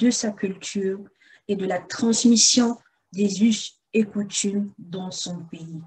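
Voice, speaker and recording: Speaking at a very slow pace, a woman with a medium-pitched, somewhat breathy voice keeps fairly even intonation but shows big swings in loudness. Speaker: interview host. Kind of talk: podcast introduction.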